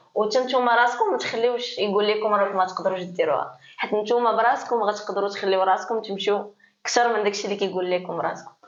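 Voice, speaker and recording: A woman at a fairly slow pace with fairly even intonation, in audible room echo. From Morocco. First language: Moroccan Arabic (Darija) (speaking French). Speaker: DJ. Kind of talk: interview. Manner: hesitant.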